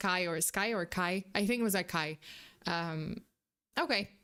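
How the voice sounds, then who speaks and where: A woman with a non-native accent and a bright, sharp tone is heard in a very clean recording with a silent background. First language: not English. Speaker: vtuber streamer reacting to videos. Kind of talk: live stream reaction commentary. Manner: halting, many fillers and restarts.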